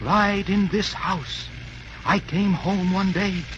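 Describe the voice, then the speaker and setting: Through loud background noise, a man puts on a high-pitched character voice and speaks at a very slow pace. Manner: spooky, haunting.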